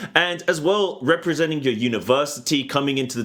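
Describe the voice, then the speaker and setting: A man speaks with a British accent. His pace is moderate and his pitch variation ordinary. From Britain. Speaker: esports caster. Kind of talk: post-match interview.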